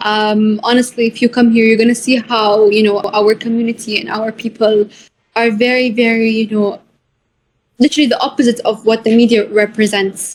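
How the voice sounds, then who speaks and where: A woman with an Arabic accent speaks in a fairly high, somewhat breathy voice with monotone, flat intonation. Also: moderate pace. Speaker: author of a children's book. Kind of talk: interview. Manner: hesitant, many fillers.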